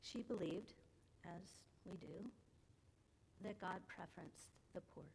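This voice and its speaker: Soft-spoken and somewhat breathy, a woman talks at a moderate pace with a medium pitch, ordinary pitch variation, and long, frequent pauses. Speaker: adult education class leader. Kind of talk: church class talk with slides. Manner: informal, with hesitations.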